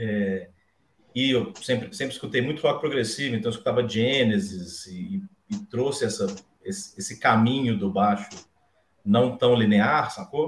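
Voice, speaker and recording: With lively intonation, a man speaks fairly slowly at medium pitch in a somewhat breathy voice. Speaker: bassist and bass teacher. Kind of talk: casual chat. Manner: halting.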